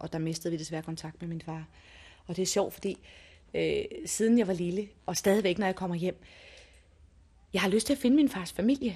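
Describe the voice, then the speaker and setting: A woman with a medium pitch and a dark, mellow tone sounds somewhat breathy. She keeps a moderate pace with long, frequent pauses. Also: quiet background. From Denmark. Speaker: restaurant owner's wife. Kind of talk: interview.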